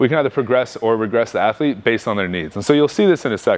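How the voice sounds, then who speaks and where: The man's intonation is lively. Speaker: strength coach. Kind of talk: seminar talk. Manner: fast.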